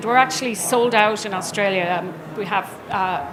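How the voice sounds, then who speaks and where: An Irish accent with ordinary pitch variation, noticeable background noise and audible room echo. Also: woman. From Ireland. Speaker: business executive, conference speaker. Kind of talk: conference presentation. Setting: trade show stage with audience.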